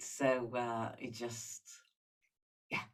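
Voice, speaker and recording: A woman talks in an Israeli accent. She speaks at a very slow pace. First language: Hebrew. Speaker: singer-songwriter. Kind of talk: interview. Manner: halting.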